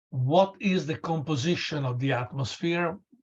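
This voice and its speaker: Over a quiet background, a man's somewhat breathy voice shows ordinary pitch variation. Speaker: lecturer. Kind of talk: lecture. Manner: halting.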